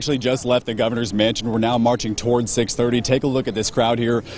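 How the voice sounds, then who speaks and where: Against noticeable background noise, a man talks very fast at a medium pitch. His intonation is monotone and flat. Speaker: TV news anchor and reporter. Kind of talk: TV news anchor delivery. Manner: clear, broadcast-polished, professional.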